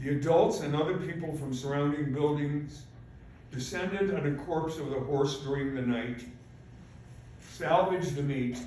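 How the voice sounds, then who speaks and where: Over noticeable background noise and audible room echo, a man speaks with fairly even intonation and long, frequent pauses. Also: fairly high pitch for a man, moderate pace. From Poland. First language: Polish. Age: 80s+. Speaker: Holocaust survivor. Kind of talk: speech. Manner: halting.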